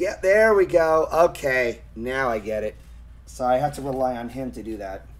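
A man's medium-pitched voice at a moderate pace, with lively intonation and big swings in loudness. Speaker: gaming streamer. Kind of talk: live gameplay commentary. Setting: online live stream. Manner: animated; profane.

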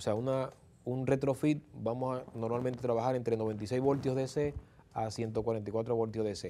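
A man's dark, mellow voice at a fairly slow pace, with fairly even intonation and light background noise. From Dominican Republic, Santo Domingo; Dominican Republic. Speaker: electric vehicle conversion specialist; guest. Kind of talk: interview. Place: studio. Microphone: lapel.

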